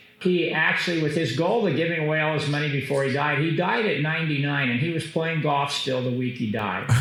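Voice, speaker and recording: A man speaks at very even loudness with hardly any pauses. Audible room echo and noticeable background noise fill the recording. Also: ordinary pitch variation. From Kansas, US. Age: 60s. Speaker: business executive. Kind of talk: interview. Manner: hesitant fillers.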